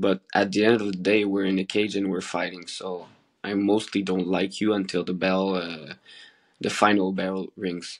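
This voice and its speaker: In a very deep, low voice, a man speaks at a moderate pace with monotone, flat intonation against a quiet background. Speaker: MMA fighter. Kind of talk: post-fight interview. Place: home room. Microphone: video call.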